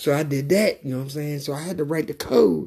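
Somewhat breathy, a man speaks in a dark, mellow tone with ordinary pitch variation. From US South, Mississippi and Louisiana. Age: 50s. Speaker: podcaster. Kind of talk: casual monologue. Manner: halting.

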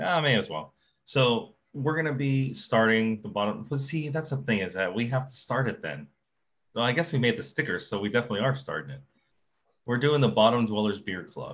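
A man talks at a fairly quick pace in a medium pitch, with lively intonation and an unremarkable speaking voice. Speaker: podcast host, scuba diver. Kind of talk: casual chat, update episode. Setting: live stream on TikTok. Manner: casual, joking.

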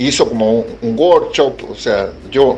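A man with a Chilean accent speaks at a very slow pace, his pitch swinging very widely. Noticeable background noise runs underneath. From Chile, Valparaíso. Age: 50s. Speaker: writer and essayist. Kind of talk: interview. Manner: halting, many fillers and repetitions.

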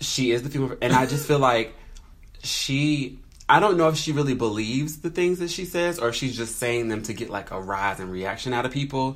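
An unremarkable speaking voice from a man with an American accent, medium in pitch, fairly quick, and with lively intonation. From North Carolina. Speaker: podcast co-host. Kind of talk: casual chat.

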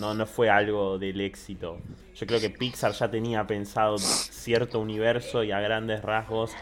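At a fairly slow pace, a man talks in a fairly low pitch against noticeable background noise. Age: 20s. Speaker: podcast co-host. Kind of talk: casual chat.

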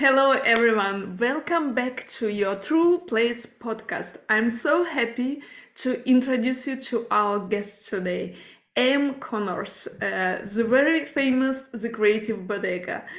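The woman's voice is high-pitched, with ordinary pitch variation and a non-native accent. She speaks very slowly. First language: not English. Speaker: podcast host. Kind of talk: interview conversation.

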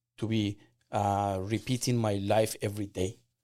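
A man with an Iranian accent speaks fairly slowly at a fairly low pitch, in a very clean recording with a silent background. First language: Persian. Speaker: immigrant entrepreneur and business owner. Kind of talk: casual interview.

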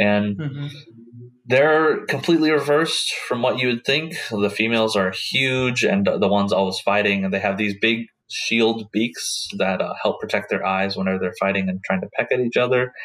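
A man with an American accent, medium pitch, ordinary pitch variation and a moderate pace, against noticeable background noise. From Oklahoma, US. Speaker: biology student. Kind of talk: casual interview chat. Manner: halting, many fillers.

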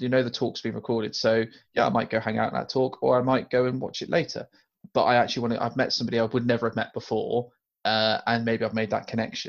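Very fast and monotone, a man with a British accent speaks at a medium pitch with flat intonation. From UK. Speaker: podcast co-host. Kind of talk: casual chat.

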